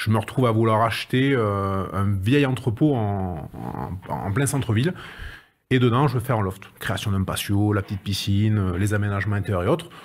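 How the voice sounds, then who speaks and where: The voice is somewhat breathy and moves at a moderate pace with ordinary pitch variation. The recording is very clean, with a silent background. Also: man. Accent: southern French. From southwest France (Agen, Lot-et-Garonne). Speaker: renovation project manager. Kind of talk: interview. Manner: hesitant, many fillers and repetitions.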